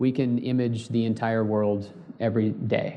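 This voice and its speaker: Monotone, flat intonation marks a man speaking in a Californian accent. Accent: Californian American. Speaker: space company co-founder. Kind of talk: panel discussion. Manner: hesitant, many fillers.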